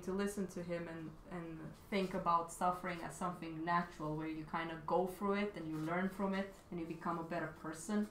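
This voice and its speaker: A woman speaks with a Romanian accent at a moderate pace and fairly even intonation. The room echo is audible, and background noise is noticeable. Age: 30s. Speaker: artist live streamer. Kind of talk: casual chat. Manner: halting.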